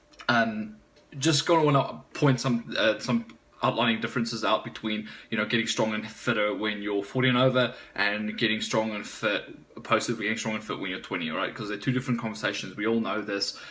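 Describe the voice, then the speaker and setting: A fairly low-voiced man talks at a fairly quick pace against noticeable background noise. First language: Afrikaans. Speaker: strength and conditioning coach, gym owner. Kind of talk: casual vlog, fitness advice. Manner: fast; animated.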